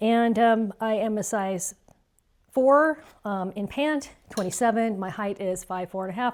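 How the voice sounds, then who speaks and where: A woman talks at a moderate pace at medium pitch. She has a plain, everyday voice. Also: very clean recording, silent background. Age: 60s. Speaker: fashion haul vlogger. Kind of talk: casual try-on review. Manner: chatty, casual.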